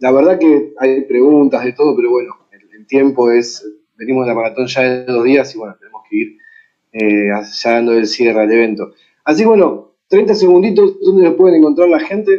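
A man's fairly high voice with an Argentine accent, with lively intonation, big swings in loudness and a moderate pace. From Argentina. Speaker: panel moderator. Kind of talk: panel moderation.

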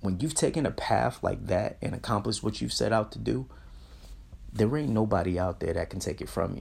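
A man at a fairly quick pace, in a very clean recording with a silent background. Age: 30s. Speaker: motivational podcast host. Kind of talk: motivational monologue. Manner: animated.

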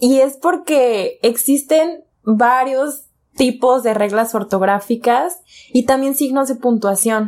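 A woman speaks very slowly in a high voice, her loudness very even. The recording is very clean, with a silent background. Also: ordinary pitch variation. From Mexico, Jalisco (Guadalajara area). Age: 20s. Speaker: podcast co-host. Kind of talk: casual chat.

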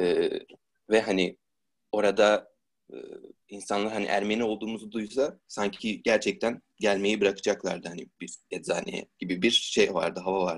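A man's fairly low-pitched voice, a plain, everyday voice, at a moderate pace with ordinary pitch variation. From Turkey, Istanbul. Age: 20s. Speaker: student. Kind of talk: interview.

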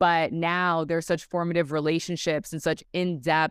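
A woman with an ordinary speaking voice, fairly low in pitch, at a moderate pace on a very clean recording with a silent background. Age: 30s. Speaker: travel community founder and media host. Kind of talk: interview.

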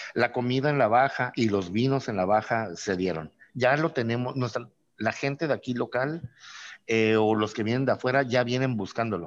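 A man at a medium pitch and moderate pace, with ordinary pitch variation and a normal speaking voice. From Mexico, Tijuana. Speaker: craft brewer. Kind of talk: casual interview.

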